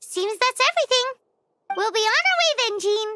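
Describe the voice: A squeaky, cartoonish character voice at an extremely high pitch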